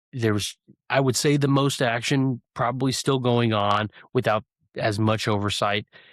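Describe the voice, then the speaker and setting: On a very clean recording with a silent background and a dry, close sound with no echo, a man talks in an unremarkable speaking voice at medium pitch, moderate pace, fairly even intonation and very even loudness. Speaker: podcast host and former police officer. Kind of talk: casual chat.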